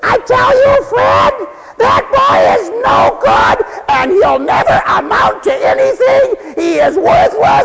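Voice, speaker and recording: Shouting in a put-on character voice at a fairly slow pace, the speaker is heard over loud background noise. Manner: ranting, scolding.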